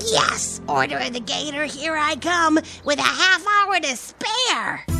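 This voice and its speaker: In a cartoonish character voice, someone speaks at a fairly slow pace while clear music plays in the background. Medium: puppet show. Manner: excitable.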